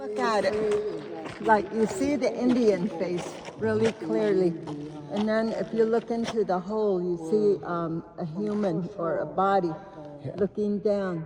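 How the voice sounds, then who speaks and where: Over noticeable background noise, a woman speaks in a Southwestern US accent at a medium pitch. Her pace is fairly slow, with ordinary pitch variation. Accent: Navajo-accented English. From Navajo Nation, US Southwest. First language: Navajo. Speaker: tour guide. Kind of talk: casual chat. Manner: hesitant, many fillers.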